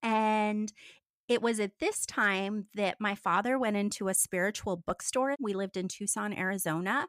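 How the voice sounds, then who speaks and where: A woman talks at a moderate pace with an American accent, medium pitch, and fairly even intonation. It is a plain, everyday voice. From US. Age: 50s. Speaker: former cult member. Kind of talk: interview testimony.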